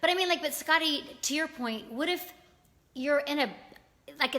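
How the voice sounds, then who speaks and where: A woman's raised, projected voice with an American accent, bright and sharp in tone, high-pitched, with lively intonation and a fairly quick pace. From US South, Virginia. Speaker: livestream talk show host. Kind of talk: casual live chat. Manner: fast.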